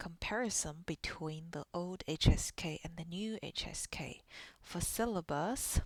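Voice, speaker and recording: A fairly slow pace in a Chinese accent. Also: very clean recording, silent background. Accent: Mandarin Chinese accent in English. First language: Mandarin Chinese. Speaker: Chinese language teacher. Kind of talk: tutorial.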